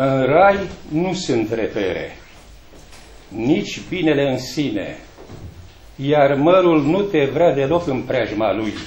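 Amid audible room echo, a man speaks very slowly at a fairly high pitch, his intonation lively and his pauses long and frequent. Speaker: poet reading at a book launch. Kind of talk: poetry reading at a book launch, with a brief polite greeting first. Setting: library event with audience. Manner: formal, measured, declamatory. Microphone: camera far.

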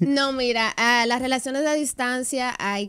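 Fairly slow speech from a woman, quiet background behind her. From Dominican Republic, Santiago. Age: 20s. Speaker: social media influencer and dancer. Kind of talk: radio interview, casual chat. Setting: radio studio. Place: studio. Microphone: studio mic.

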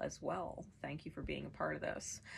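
A woman is speaking. Her voice has vocal fry. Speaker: tarot reader. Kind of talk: tarot reading monologue. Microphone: camera far.

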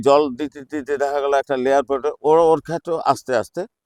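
Heard with a dry, close sound and no echo, a man is speaking. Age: 70s. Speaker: retired forest department worker and gardener. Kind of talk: interview.

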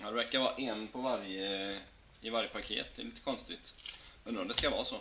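The voice moves at a very fast pace against noticeable background noise. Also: man, medium pitch for a man. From Sweden. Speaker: hockey card box-break streamer. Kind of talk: live stream card opening chat. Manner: animated. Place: home room. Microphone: webcam.

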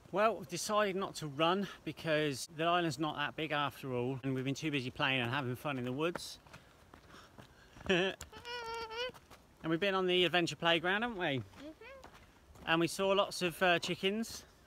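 There is a man with a high pitch and ordinary pitch variation, speaking at a moderate pace with long, frequent pauses. The sound is dry with no echo, and there is light background noise. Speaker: family vlogger. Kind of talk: casual vlog chat. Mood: cheerful, relaxed. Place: forest. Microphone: phone near.

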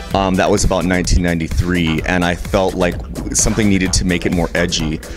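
Clear music plays behind a man with a very deep, low pitch. He speaks at a moderate pace. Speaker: interview guest. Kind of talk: interview answer. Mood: relaxed, reflective. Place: bar. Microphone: handheld.

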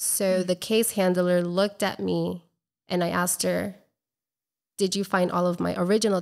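In an American accent, the speaker holds a moderate pace and a flat monotone. The background is quiet. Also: woman. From Colombia and Florida. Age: 30s. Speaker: travel blogger and entrepreneur; travel blogger. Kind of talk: casual interview. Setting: in person, drinking wine. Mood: earnest, reflective. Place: home room. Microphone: studio mic.

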